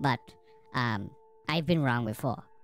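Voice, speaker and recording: Someone performs a put-on character voice while faint music sits in the background. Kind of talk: casual let's-play commentary. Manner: easygoing, reactive.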